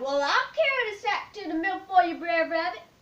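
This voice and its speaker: A woman uses a put-on character voice at an extremely high pitch. Her pace is moderate. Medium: read story.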